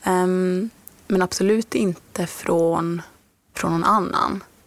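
A woman speaks at a medium pitch. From Norrbotten, northern Sweden. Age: 20s. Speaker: author. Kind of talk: interview.

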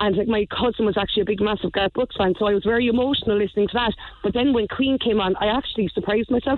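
Very fast and with hardly any pauses, a woman talks with a Cork accent at a fairly high pitch. Her loudness is very even and her intonation fairly even. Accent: Cork Irish. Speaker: caller. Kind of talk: radio phone-in. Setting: phone call.

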